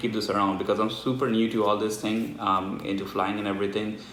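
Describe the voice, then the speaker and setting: Against noticeable background noise and audible room echo, a man speaks in a fairly low voice. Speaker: tech reviewer and student pilot. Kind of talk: unboxing review. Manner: casual, chatty.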